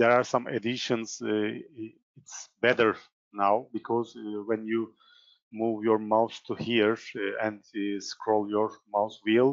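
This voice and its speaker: Speaking at a very slow pace with a Turkish accent, a man keeps his fairly low voice in a monotone, flat intonation. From Turkey. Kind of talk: software tutorial. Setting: live online session. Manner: halting, many fillers.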